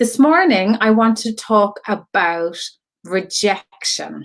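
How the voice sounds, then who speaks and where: Speech comes at a very slow pace in a Cork accent. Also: woman. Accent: Cork Irish. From Ireland, Cork. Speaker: online creative community host and artist. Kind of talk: live stream monologue. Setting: Facebook live video. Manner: chatty, many fillers.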